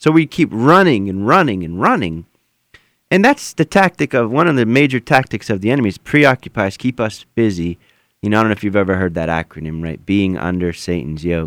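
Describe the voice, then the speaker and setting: Very wide pitch swings at a fairly quick pace, in a dry, close sound with no echo and a very clean recording with a silent background. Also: man, fairly low pitch for a man. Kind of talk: radio interview with prayer. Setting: radio studio.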